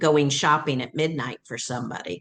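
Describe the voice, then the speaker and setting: A woman speaks in a very deep, low voice with a Southern accent. Her intonation stays fairly even. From US South, Atlanta. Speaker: training school founder. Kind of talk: interview.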